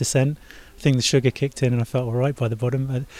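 Speaking at a fairly quick pace, a man with a southern English accent uses a medium pitch, a dark, mellow tone and monotone, flat intonation. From southern England (Farnham). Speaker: amateur triathlete, software engineer. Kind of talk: interview.

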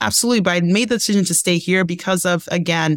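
Dry and close with no echo, a woman's fairly low voice moves at a very fast pace with ordinary pitch variation. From Nigeria. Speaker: leadership development expert. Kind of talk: interview.

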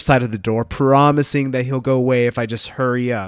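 On a very clean recording with a silent background, a man with an American accent talks at medium pitch and a fairly quick pace. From US Midwest, Columbus, Ohio. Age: 40s. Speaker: podcast host and life coach. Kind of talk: solo podcast monologue.

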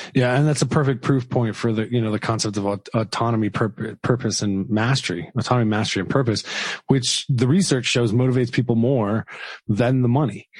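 A man's medium-pitched, somewhat breathy voice at a fairly quick pace. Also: ordinary pitch variation. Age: 40s. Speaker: podcast host. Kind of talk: interview.

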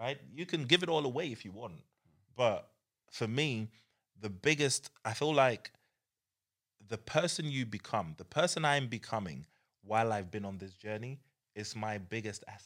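A man with a British accent speaks at a moderate pace in a medium pitch, with lively intonation, big swings in loudness, and long, frequent pauses. The recording is very clean with a silent background. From UK. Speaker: entrepreneur. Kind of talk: casual chat.

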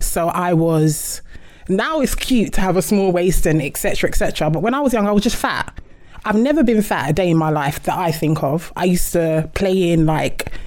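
This woman has an unremarkable speaking voice, medium in pitch and moderate in pace. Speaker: podcast co-host. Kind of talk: casual chat.

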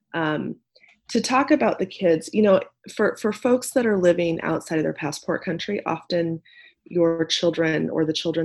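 Against a quiet background, a woman with a Midwestern accent speaks at a fairly slow pace. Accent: General American (Midwest). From Nebraska, US Midwest. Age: 40s. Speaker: nonprofit community leader. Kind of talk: interview conversation.

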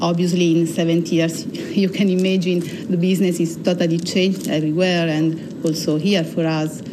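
Monotone, flat intonation comes from a woman with an Italian accent, heard with audible room echo and noticeable background noise. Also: fairly low pitch for a woman, moderate pace. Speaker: energy company analyst. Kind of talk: interview. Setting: studio.

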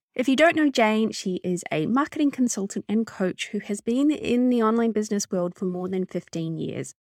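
In a New Zealand accent, this voice runs with hardly any pauses and lively intonation, in a dry, close sound with no echo and a very clean recording over a silent background. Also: woman, fairly high pitch for a woman, moderate pace. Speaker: podcast host and business mentor. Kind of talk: casual interview chat.

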